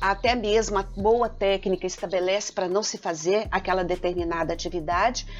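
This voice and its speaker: With music in the background, the speaker keeps a moderate pace, fairly even intonation and hardly any pauses. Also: woman, medium pitch for a woman. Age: 50s. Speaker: engineering professor. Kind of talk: podcast interview. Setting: studio.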